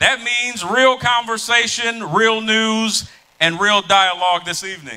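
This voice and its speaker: This man speaks in a raised, projected voice. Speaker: event moderator. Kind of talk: live event moderation. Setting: stage with audience. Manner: loud; animated.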